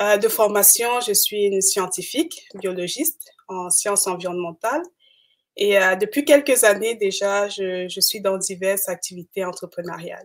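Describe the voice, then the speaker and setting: Using a plain, everyday voice, a woman speaks fairly slowly at a medium pitch with ordinary pitch variation. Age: 30s. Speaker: entrepreneur. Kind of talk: live interview. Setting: livestream.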